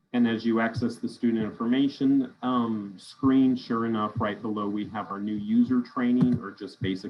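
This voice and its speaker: A man with a plain, everyday voice speaks at a moderate pace and a medium pitch. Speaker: school district systems trainer. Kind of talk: virtual training presentation.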